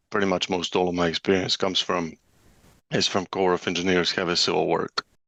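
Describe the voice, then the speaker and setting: A man with a non-native accent speaks at a moderate pace in a very deep, low pitch, his tone bright and sharp, his intonation monotone and flat, in a dry, close sound with no echo over a quiet background. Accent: foreign. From former Yugoslavia. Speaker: construction estimating director. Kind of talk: podcast interview. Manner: casual, many filler words.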